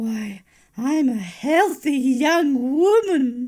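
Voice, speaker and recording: In a very clean recording with a silent background, a female-sounding cartoonish character voice speaks at a very slow pace with high pitch. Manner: sweet-toned yet menacing.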